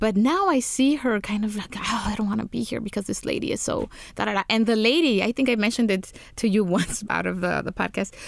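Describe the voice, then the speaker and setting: At a moderate pace, a woman with a fairly high pitch talks in an ordinary speaking voice. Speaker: podcast host. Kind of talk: podcast hosting.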